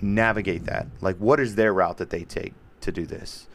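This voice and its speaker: A man speaks loudly with a fairly low pitch. His pace is moderate. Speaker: podcast host. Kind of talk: casual chat. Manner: aggressive in conversation.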